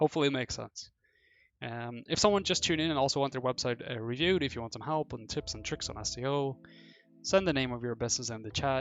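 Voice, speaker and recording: A man with a non-native accent speaks very fast at a medium pitch with ordinary pitch variation. Music plays in the background. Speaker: SEO consultant, live streamer. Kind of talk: live stream website review. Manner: casual, with fillers and self-corrections.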